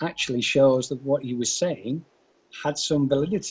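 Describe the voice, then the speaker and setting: A man's somewhat breathy voice, fairly high in pitch, with ordinary pitch variation and a moderate pace. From northern England, Burnley, Lancashire. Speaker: finance executive. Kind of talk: podcast interview. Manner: hesitant, many fillers.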